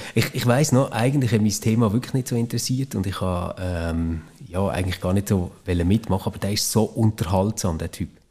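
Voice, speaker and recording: A man's fairly low, somewhat breathy voice with a dark, mellow tone, at a fairly quick pace with ordinary pitch variation, on a very clean recording with a silent background. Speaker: former podcast co-host. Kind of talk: casual chat.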